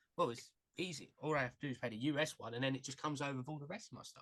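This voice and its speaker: Very fast speech from a man with a British accent, fairly high in pitch, bright and sharp in tone, with fairly even intonation. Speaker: podcast host. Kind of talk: interview.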